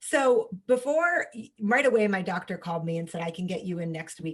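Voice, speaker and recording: A woman with an American accent and a somewhat breathy medium-pitched voice, animated in tone, with lively intonation and a fairly quick pace. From New York. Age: 30s. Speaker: holistic health coach and cancer survivor. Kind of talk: podcast interview, personal story.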